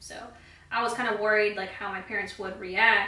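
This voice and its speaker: Over noticeable background noise and audible room echo, a woman in a Spanish accent speaks at a moderate pace and medium pitch with monotone, flat intonation. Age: 20s. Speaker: beauty vlogger. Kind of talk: casual chat while doing makeup tutorial.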